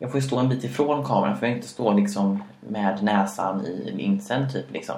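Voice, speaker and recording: Speaking at a moderate pace, a man uses a medium pitch with very wide pitch swings. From Sweden, Karlstad. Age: 20s. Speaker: podcast co-host. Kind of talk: casual chat. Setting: home kitchen.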